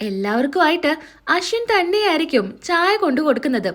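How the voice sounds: Over a silent background in a very clean recording, a woman talks at a fairly quick pace in a high, fairly bright voice with big pitch swings.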